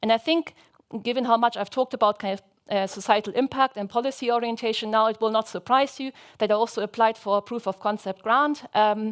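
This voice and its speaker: A woman's very fast voice with fairly even intonation, dry and close with no echo, on a very clean recording over a silent background. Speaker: researcher presenting grant work. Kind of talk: conference talk. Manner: hesitant, many fillers.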